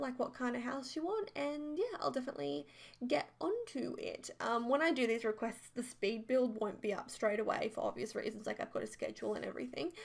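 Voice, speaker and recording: Noticeable noise can be heard in the background. A woman speaks fairly quickly over it. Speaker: gaming YouTuber. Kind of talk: voiceover commentary over speed build. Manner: casual, filler-heavy.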